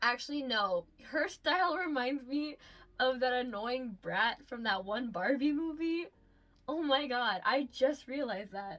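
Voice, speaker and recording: A woman with a high pitch delivers her words fairly slowly, her intonation lively. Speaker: commentary youtuber. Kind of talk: casual commentary. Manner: stuttering, many ums and likes.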